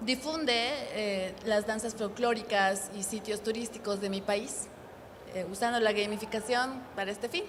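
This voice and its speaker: A woman speaks with fairly even intonation at a fairly high pitch. Room echo is audible, along with noticeable background noise. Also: moderate pace. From Bolivia. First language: Spanish. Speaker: game developer. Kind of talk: conference panel introduction.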